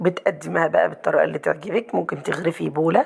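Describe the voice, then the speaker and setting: Over noticeable background noise, a woman talks with an Egyptian accent. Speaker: cooking channel host. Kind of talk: cooking tutorial. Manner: fast.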